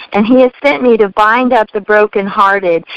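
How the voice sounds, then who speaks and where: A woman talks in an ordinary speaking voice. Her pace is moderate and her intonation fairly even. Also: dry, close sound with no echo. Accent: American. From US Midwest, Missouri. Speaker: life coach and speaker. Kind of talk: testimony.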